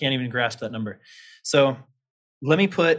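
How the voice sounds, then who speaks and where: A man with a medium pitch in an American accent, on a very clean recording with a silent background. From Kansas, US. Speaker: bitcoin company marketing head. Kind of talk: interview conversation.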